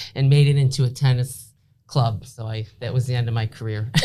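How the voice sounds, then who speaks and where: The voice is somewhat breathy, with a dark, mellow tone. It moves at a fairly quick pace with ordinary pitch variation. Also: woman. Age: 60s. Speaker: podcast guest, former fitness instructor. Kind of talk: casual chat. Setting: studio.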